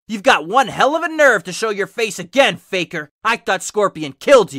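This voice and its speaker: A put-on character voice at a fairly high pitch and moderate pace, on a very clean recording with a silent background. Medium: read story. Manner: determined, angry.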